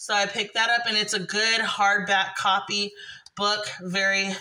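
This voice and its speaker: The woman speaks. Her pace is fairly slow. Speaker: haul vlogger. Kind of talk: casual vlog chat. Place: home room. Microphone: phone near.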